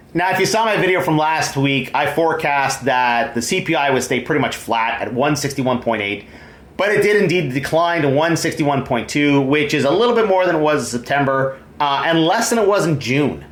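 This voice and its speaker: Speaking with a Canadian accent, a man talks at a fairly quick pace and a fairly high pitch. Audible room echo and noticeable background noise are present. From Canada, Ontario. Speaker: vlogger. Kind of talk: video commentary. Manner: halting.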